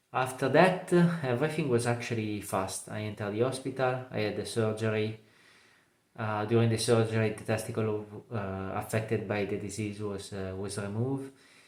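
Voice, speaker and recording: A man speaks in a fairly low voice with ordinary pitch variation. Room echo is audible. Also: moderate pace. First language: not English. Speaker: cancer survivor. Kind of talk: testimony. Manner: halting, many fillers.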